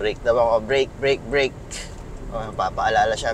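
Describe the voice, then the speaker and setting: A man's fairly high voice at a moderate pace, with very wide pitch swings and noticeable background noise. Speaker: car reviewer. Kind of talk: test drive commentary. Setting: in a car. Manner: casual, conversational.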